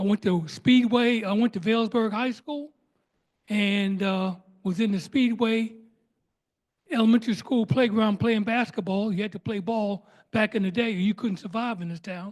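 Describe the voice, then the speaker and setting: With an American accent, a man speaks high-pitched at a moderate pace with fairly even intonation. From Newark, New Jersey. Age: 70s. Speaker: audience member. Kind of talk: Q&A comment. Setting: public library talk.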